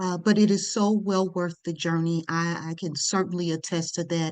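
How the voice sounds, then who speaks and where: A woman's plain, everyday voice, fairly low in pitch, with fairly even intonation at a moderate pace against a quiet background. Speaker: podcast host, life and leadership coach. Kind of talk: podcast conversation.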